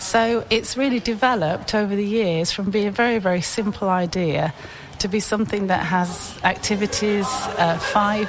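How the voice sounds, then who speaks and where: A woman speaks with ordinary pitch variation and very even loudness over noticeable background noise. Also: medium pitch for a woman, moderate pace. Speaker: youth charity volunteer. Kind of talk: radio interview.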